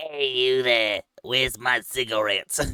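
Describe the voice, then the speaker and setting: The speaker puts on a character voice at a low-to-middle pitch and a moderate pace. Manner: demanding, gruff.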